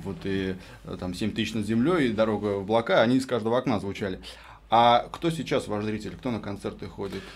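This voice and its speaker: This man has a fairly low pitch and ordinary pitch variation. He talks at a fairly quick pace. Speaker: radio co-host. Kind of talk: radio interview. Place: studio. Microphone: studio mic.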